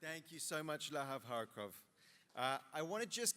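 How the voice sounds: A man with a fairly high voice and a bright, sharp tone. His intonation is lively.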